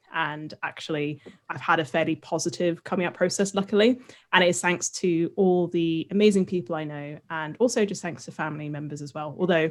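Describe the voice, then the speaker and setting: Speaking with a British accent at a fairly quick pace, a woman has a fairly low pitch with ordinary pitch variation and big swings in loudness, recorded very cleanly against a silent background. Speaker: podcast host, science communicator. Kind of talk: casual chat.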